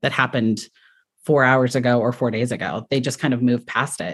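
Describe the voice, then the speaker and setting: A woman speaks with an American accent against a quiet background. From US, Colorado Springs. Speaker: elementary school teacher. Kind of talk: casual chat.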